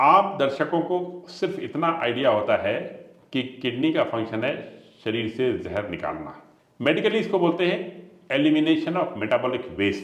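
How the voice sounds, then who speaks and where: A man speaks at a fairly high pitch and moderate pace, with very wide pitch swings and vocal fry. Audible room echo surrounds the voice. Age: 60s. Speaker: ayurvedic doctor. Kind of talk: health interview explanation.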